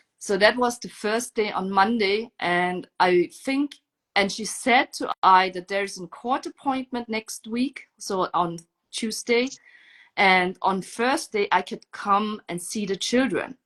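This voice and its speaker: A woman with a non-native accent talks at a very slow pace in a fairly high voice. Her pitch varies in an ordinary way, and the background is quiet. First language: not English. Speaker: mother telling her story. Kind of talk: testimony.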